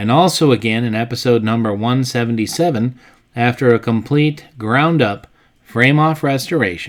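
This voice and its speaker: Keeping a moderate pace, a man with medium pitch and ordinary pitch variation talks in a plain, everyday voice. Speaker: channel host narrator. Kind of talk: documentary voice-over narration.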